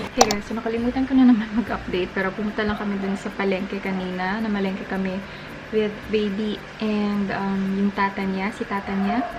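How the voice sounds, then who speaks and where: There is noticeable background noise as a woman talks at a fairly quick pace. Her medium-pitched voice stays monotone and flat. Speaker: lifestyle vlogger and mother. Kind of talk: casual vlog. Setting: at home, night. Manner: hushed, lowered voice.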